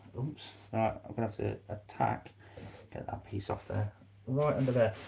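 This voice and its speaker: A man speaks quietly at a moderate pace, his medium pitch varying in an ordinary way. His tone is dark and mellow, with vocal fry. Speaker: reptile keeper and YouTuber. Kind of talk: casual live stream commentary while working.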